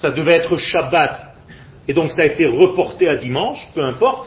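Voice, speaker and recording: A man at a fairly slow pace, his pitch moving in very wide swings. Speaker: religious teacher. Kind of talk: lecture.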